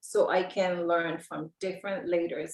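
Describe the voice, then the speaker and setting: A woman speaks with a Samoan accent. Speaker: network marketer. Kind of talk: interview.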